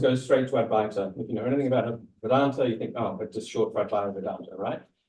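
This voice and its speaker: A man talks at a very fast pace with an Australian accent. His tone is dark and mellow. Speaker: academic presenter. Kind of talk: lecture. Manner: hesitant, many fillers.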